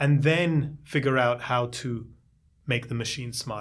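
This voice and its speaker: On a very clean recording with a silent background, a man speaks at a fairly high pitch in a somewhat breathy voice with fairly even intonation. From India. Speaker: tech startup founder and CEO. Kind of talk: interview.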